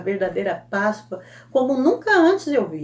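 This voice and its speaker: A somewhat breathy woman at a fairly slow pace. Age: 60s. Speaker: Sunday school teacher. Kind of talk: Bible lesson teaching. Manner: conversational, frequent self-corrections.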